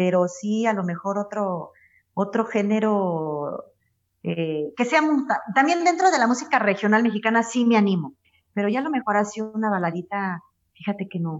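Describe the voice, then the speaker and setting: A woman is speaking at a moderate pace. Her intonation is lively. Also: medium pitch for a woman. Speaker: ranchera singer. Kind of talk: interview conversation.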